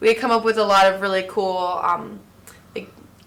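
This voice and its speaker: Through noticeable background noise, a woman with an American accent speaks at a moderate pace with fairly even intonation. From Florida; Orlando area. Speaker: singer. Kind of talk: interview answer. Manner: casual, hesitant.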